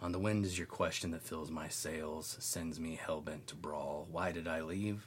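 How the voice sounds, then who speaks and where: A man's very deep, low-pitched voice, with fairly even intonation at a fairly slow pace. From northwestern Oklahoma, small town. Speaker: poet. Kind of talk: poetry reading; casual interview chat.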